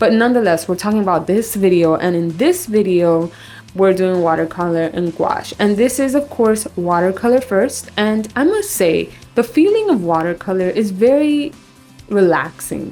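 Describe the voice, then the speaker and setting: A quiet woman's voice, medium in pitch, with lively intonation at a moderate pace. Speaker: artist and art vlogger. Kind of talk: tutorial. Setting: bathroom at home.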